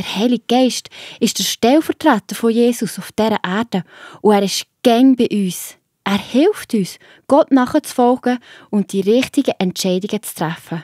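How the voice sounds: A woman speaks at a moderate pace and fairly high pitch, with a slightly mellow tone, ordinary pitch variation and few pauses. The recording is very clean with a silent background, and the sound is dry and close with no echo.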